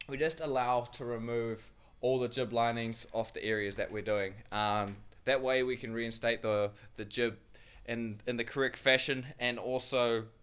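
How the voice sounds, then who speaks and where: Someone with a New Zealand accent speaks at a moderate pace with fairly even intonation. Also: man. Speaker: builder. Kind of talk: casual vlog. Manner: halting, many fillers.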